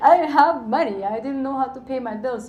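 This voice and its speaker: A Romanian accent amid audible room echo. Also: woman. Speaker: financial educator and entrepreneur. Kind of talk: panel talk. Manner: animated.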